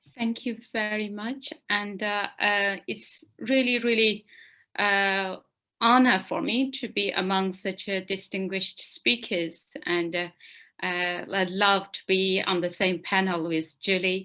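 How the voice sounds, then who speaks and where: Very slowly and with ordinary pitch variation, a woman with a Xinjiang accent speaks in a medium-pitched, bright, sharp voice against a quiet background. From East Turkestan, China. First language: Uyghur. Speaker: activist. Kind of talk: panel discussion. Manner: hesitant, many fillers.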